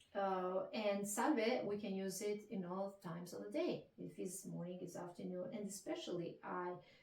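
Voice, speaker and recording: A somewhat breathy woman's voice with an Italian accent and hardly any pauses. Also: medium pitch for a woman, ordinary pitch variation, moderate pace. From Italy. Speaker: Italian language teacher. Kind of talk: interview answer.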